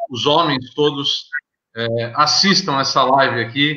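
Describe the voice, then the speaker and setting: Over a quiet background, a man talks at a very slow pace. His pitch is fairly high with ordinary variation. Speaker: live host and moderator; debate moderator. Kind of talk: moderated panel discussion. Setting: video call. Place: home room. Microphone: video call.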